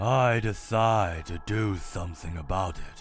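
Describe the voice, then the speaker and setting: A man puts on a character voice at a fairly low pitch and a fairly slow pace. Faint music plays in the background. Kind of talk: comic dub, multiple character voices. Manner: calm, detached.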